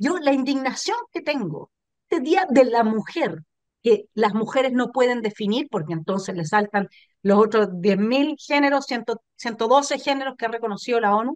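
A woman talks at a fairly slow pace with lively intonation. The background is quiet, and the sound is dry with no echo. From Chile. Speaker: political commentator, channel host. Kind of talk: political talk show discussion. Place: home room. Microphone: video call.

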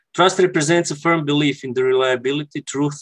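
Fairly quick speech in a Croatian accent, fairly even in intonation, over a quiet background. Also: man. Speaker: architect; conference presenter. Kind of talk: conference presentation. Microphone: headset.

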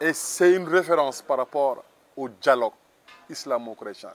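Lively intonation marks a man's fairly slow speech at a fairly high pitch. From Senegal. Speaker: former pilgrim walker, parish group member; interviewee. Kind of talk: testimony. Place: garden. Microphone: lapel.

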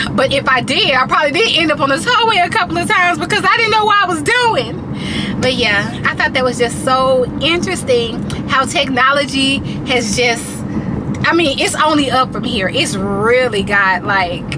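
A woman at a moderate pace over loud background noise. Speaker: vlogger. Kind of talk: casual vlog chat. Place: car. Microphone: phone near.

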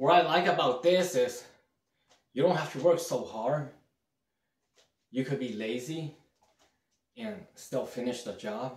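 A somewhat breathy man talks at a fairly slow pace with long, frequent pauses. There is audible room echo. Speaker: home cleaning vlogger. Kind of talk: casual vlog chat. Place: bathroom. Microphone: phone near.

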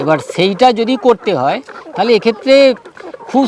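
Noticeable background noise sits behind this man. His pitch is extremely high. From West Bengal, Hooghly district. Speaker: poultry farming consultant. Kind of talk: interview. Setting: on a farm.

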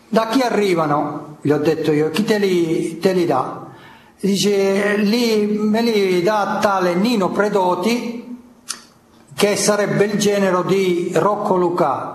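Over noticeable background noise and audible room echo, a man with a high pitch and ordinary pitch variation speaks at a very slow pace and very even loudness. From Calabria, Tyrrhenian side. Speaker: mafia collaborator witness. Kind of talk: court testimony.

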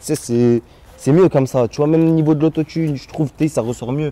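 A man speaks at a fairly quick pace. His pitch varies in an ordinary way. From Lyon, France (Gerland, 7th arrondissement); Lyon. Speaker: rapper; interviewee. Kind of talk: casual chat. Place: street. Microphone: phone near.

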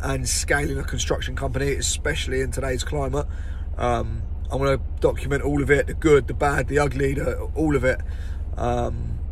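Speaking at a moderate pace, a man is heard with light background noise and a dry sound with no echo. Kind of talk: casual vlog chat. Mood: upbeat end-of-day wrap. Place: car. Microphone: phone near.

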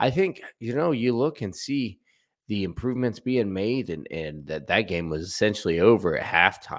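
With an American accent, a man speaks at a moderate pace in a fairly low pitch, swinging very widely in pitch against a quiet background. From US Midwest, southern Ohio. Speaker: sports YouTuber. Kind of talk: casual sports commentary. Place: home room. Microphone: studio mic.

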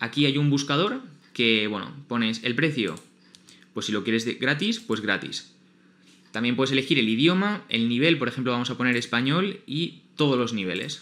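A man with a Spanish accent speaks at a moderate pace in medium pitch. His tone is bright and sharp, his intonation lively. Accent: Peninsular Spanish. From Spain. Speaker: YouTuber. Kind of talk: tutorial. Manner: informal.

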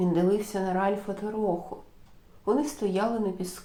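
Intonation holds fairly even throughout. Someone reads aloud in a natural voice.

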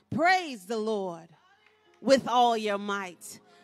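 A woman speaks at a very slow pace. Faint music plays behind her, and the sound is dry with no echo. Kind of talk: call to worship. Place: church. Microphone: podium.

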